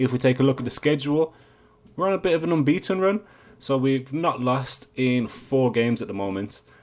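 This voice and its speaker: Someone speaks with an English accent at a moderate pace. The recording is very clean, with a silent background. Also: man. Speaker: video game streamer. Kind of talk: gameplay commentary. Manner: casual, with hesitations.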